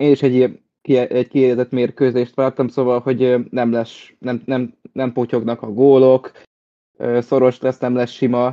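The delivery is monotone, with flat intonation. The tone is dark and mellow. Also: man, medium pitch for a man, fairly slow pace. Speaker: football pundit. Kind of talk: casual football discussion. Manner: hesitant, repeats words.

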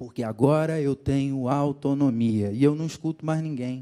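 Speaking with a Rio de Janeiro accent, a man keeps a fairly slow pace and fairly even intonation. His voice is fairly high in pitch, with a dark, mellow tone. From Rio de Janeiro, Brazil. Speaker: pastor. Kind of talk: sermon.

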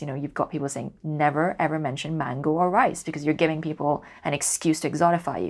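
A woman with a Cantonese accent, very deep, low pitch, very fast pace and fairly even intonation, on a very clean recording with a silent background. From Hong Kong. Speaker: poet. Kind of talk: interview conversation.

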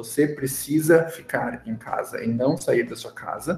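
A man speaks with a strong gaúcho accent. Noticeable background noise runs under his voice. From Rio Grande do Sul, Brazil (São Leopoldo, Porto Alegre area). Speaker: chemistry professor and researcher. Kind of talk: casual interview.

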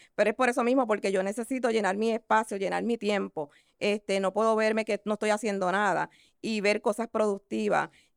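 A woman's fairly high voice with fairly even intonation at a fairly quick pace, in a dry, close sound with no echo. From Puerto Rico, San Juan metro area. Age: 50s. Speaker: esthetician and insurance agent. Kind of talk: interview. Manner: halting.

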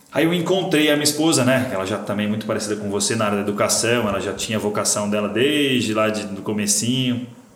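A man's fairly low voice at a very fast pace with hardly any pauses, plus noticeable background noise and audible room echo. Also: ordinary pitch variation. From Brazil, São Paulo; moved to São José do Rio Preto at 15. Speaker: podcast host, business mentor. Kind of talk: casual interview chat.

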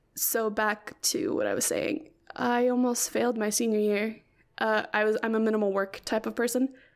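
In an American accent, a soft-spoken woman talks at a moderate pace with a fairly high pitch and ordinary pitch variation. Her loudness stays very even, and the recording is very clean against a silent background. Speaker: podcast host. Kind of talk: casual solo chat. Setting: home recording. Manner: frequent laughter.

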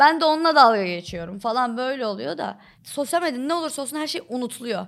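A high-pitched woman at a fairly quick pace with lively intonation, on a very clean recording with a silent background. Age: 20s. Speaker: TikTok comedy creator. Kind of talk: casual chat.

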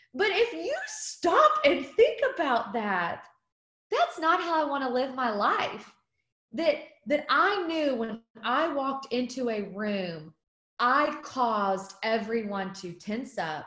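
Talking at a very slow pace, a woman uses a high pitch with very wide pitch swings. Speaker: guest speaker and mom. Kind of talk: casual interview chat. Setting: video call.

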